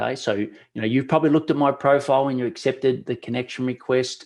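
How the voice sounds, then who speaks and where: A man speaks at a fairly quick pace in an unremarkable speaking voice. His pitch is medium, and the background is quiet. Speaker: webinar presenter, LinkedIn outreach consultant. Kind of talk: webinar presentation. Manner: casual, conversational.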